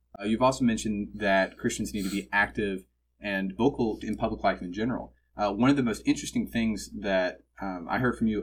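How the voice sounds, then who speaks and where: A man with an American accent and an unremarkable speaking voice, fairly low in pitch, with ordinary pitch variation, on a very clean recording with a silent background. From suburban Texas. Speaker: student podcast host. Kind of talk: interview.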